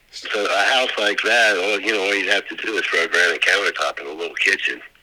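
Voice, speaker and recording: A man speaks at a very fast pace. Noticeable background noise runs underneath. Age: 70s. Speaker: property owner and Vietnam veteran. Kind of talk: phone call with real estate wholesaler. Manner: casual, rambling with fillers.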